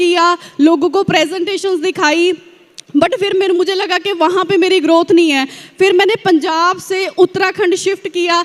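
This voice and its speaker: A woman speaks with a Punjabi accent. Her pitch is extremely high and her intonation fairly even. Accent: Punjabi-accented Hindi. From Punjab, India (village). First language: Punjabi (speaking Hindi). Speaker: network marketing distributor. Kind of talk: motivational success-story speech. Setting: stage at large event with audience.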